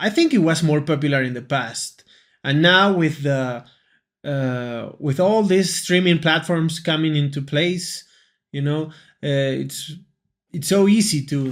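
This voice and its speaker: Someone with a Peruvian accent speaks at a fairly slow pace on a very clean recording with a silent background. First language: Spanish. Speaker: English teacher. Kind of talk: casual lesson talk to camera. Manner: hesitant, with fillers and repetitions.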